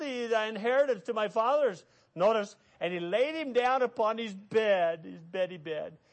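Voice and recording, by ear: A natural voice reading aloud, full of lively intonation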